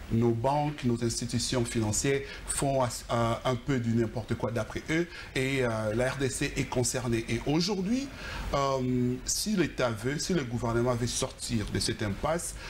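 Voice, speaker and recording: A man speaks at a fairly slow pace in a medium pitch, with ordinary pitch variation and very even loudness. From DR Congo. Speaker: anti-money-laundering expert. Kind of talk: TV interview. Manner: halting, many hesitations.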